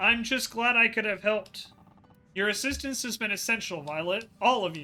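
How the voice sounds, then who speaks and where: Putting on a character voice, a man speaks at a high pitch and moderate pace with faint music in the background. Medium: game stream. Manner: genteel, fatherly.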